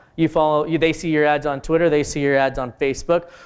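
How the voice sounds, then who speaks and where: On a very clean recording with a silent background, a man talks at a fairly quick pace and a fairly high pitch. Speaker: marketing conference speaker. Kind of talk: conference talk. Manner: fast; animated.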